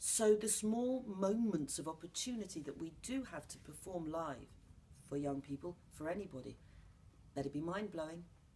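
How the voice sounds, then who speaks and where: A woman's fairly low, dark, mellow voice in a southern English accent, with lively intonation at a moderate pace. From London, England. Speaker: playwright and actor. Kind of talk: interview. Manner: animated.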